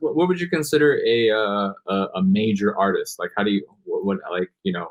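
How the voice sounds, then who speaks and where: This man's fairly low voice moves through very wide pitch swings. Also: moderate pace. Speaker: podcast host. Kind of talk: interview host questions.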